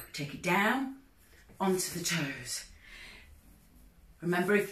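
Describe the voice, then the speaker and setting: Over noticeable background noise and audible room echo, a woman speaks at a fairly slow pace. Her voice is fairly low, with an energetic tone. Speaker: fitness instructor. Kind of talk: workout instruction. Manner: energetic counting cues.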